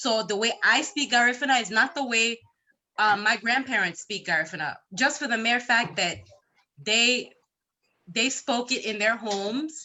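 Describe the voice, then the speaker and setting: This woman has an ordinary speaking voice, fairly high in pitch. She talks at a moderate pace with ordinary pitch variation. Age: young. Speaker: conference participant. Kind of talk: panel discussion.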